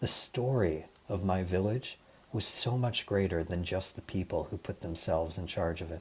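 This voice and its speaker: A somewhat breathy voice at a moderate pace with ordinary pitch variation, on a very clean recording with a silent background. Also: man, very deep, low pitch for a man. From US Midwest, Michigan. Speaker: design leader, conference speaker. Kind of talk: conference talk.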